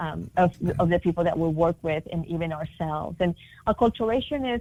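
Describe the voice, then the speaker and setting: A woman speaks with a Spanish accent in a fairly low pitch, with ordinary pitch variation. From Latin America. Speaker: multicultural marketing consultant. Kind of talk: interview. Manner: many fillers and restarts.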